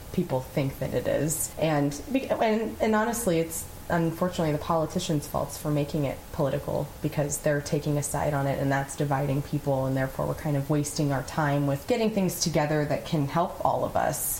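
A woman with a very deep, low pitch speaks in a serious tone at a fairly quick pace with hardly any pauses, her loudness very even and her pitch variation ordinary, over noticeable background noise. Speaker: podcast host. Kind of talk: casual conversation with husband. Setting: recorded at home by a fire. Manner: serious, outgoing.

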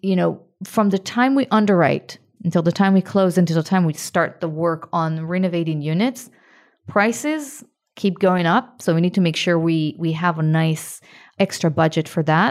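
Recorded very cleanly against a silent background, a woman talks at a moderate pace with fairly low pitch, ordinary pitch variation and very even loudness, an ordinary speaking voice. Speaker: podcast host and real estate investor. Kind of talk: podcast interview.

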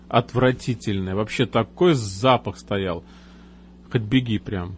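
A man talks very slowly in a fairly low voice that moves with ordinary pitch variation. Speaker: radio host. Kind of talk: radio show hosting. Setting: live radio broadcast.

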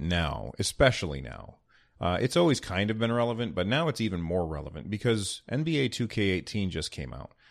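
The voice has a relaxed tone with vocal fry and very wide pitch swings. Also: man. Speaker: podcast host. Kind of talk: casual podcast monologue with news and ad reads. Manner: relaxed, conversational, with filler words.

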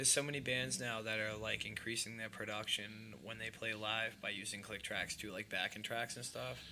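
A man with a fairly low pitch, a bright, sharp tone and vocal fry speaks at a moderate pace, with ordinary pitch variation and hardly any pauses. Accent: American. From Boston area, Massachusetts. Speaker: podcast host. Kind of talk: casual chat interview. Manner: profane, casual.

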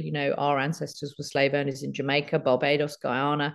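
The voice belongs to a woman with a very deep, low pitch and vocal fry. She speaks at a moderate pace. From London, England. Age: 50s. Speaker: journalist and reparations advocate. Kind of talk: interview.

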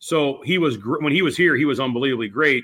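A man with an American accent has an ordinary speaking voice, fairly high in pitch. He talks at a fairly quick pace with lively intonation. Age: 60s. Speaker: bowling coach. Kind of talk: casual interview.

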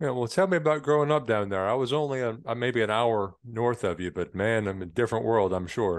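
This man has a plain, everyday voice and an American accent. He talks at a fairly quick pace against a quiet background. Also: medium pitch for a man, lively intonation. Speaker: podcast host. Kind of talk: casual interview.

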